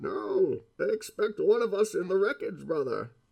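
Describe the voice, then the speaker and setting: A man uses a put-on character voice with extremely high pitch. He talks at a moderate pace. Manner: menacing, theatrical.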